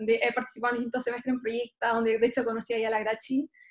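A woman with a Chilean accent speaks against a quiet background. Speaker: student election candidate; election candidate. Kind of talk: debate. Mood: cheerful, smiling. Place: home room. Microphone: webcam.

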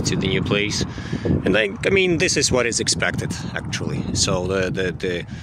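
A man at a moderate pace, dry sound with no echo, loud background noise throughout. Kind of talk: casual vlog chat. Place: garden. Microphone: phone near.

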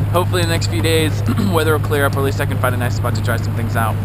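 Loud background noise surrounds a man speaking. The sound is dry, with no echo. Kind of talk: casual vlog chat. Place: boat. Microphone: phone near.

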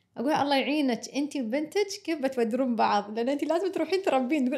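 At a very fast pace, a woman talks with lively intonation and a high pitch. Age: late 30s. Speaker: podcast host. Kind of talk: casual interview.

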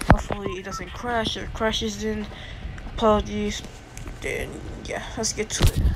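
A woman at a moderate pace with music in the background. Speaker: gamer. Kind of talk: gameplay commentary. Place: home room.

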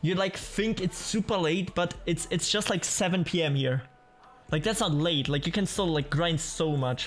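Faint music plays behind a man with a high pitch and ordinary pitch variation. He keeps a fairly slow pace at very even loudness. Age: 20s. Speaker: gaming streamer. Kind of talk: casual live-stream chat while gaming. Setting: home streaming setup with microphone. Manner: animated. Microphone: studio mic.

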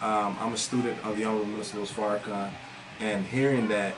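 A fairly low-pitched man with an American accent at a very fast pace, fairly even in intonation, with clear music in the background. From US South, Atlanta, Georgia. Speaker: singer and community advocate; interview guest. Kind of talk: interview. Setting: studio. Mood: earnest, reflective. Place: studio. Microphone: studio mic.

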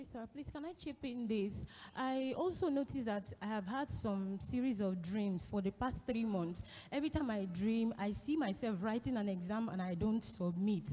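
With lively intonation, a woman talks at a moderate pace in a fairly high pitch. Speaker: congregant with a question. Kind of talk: testimony. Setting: church. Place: church. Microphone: handheld.

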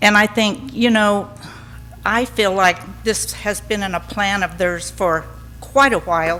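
An American accent at a fairly slow pace, with music in the background. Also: woman. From Southern California. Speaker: resident speaking at public comment. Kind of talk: public comment at council meeting. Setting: city council meeting.

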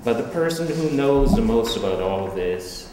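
Recorded with audible room echo and noticeable background noise, a man speaks at a moderate pace with very wide pitch swings. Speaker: introducer of the artist. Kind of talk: prepared introduction read aloud. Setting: art gallery with audience. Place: hall.

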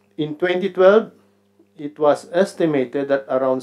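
A man talking at a fairly slow pace, with ordinary pitch variation. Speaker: conference presenter. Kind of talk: conference talk. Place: hall. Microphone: podium.

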